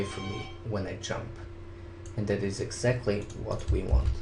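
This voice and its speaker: A man with a non-native accent talks at a moderate pace and with fairly even intonation, with audible room echo and noticeable background noise. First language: not English. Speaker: video editing hobbyist, contest winner. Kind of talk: software tutorial. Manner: casual, step-by-step instruction.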